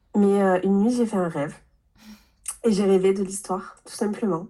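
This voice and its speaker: At a moderate pace, a woman speaks at medium pitch in a dark, mellow tone with fairly even intonation. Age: 30s. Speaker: novelist. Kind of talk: interview. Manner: halting, many hesitations and repeats.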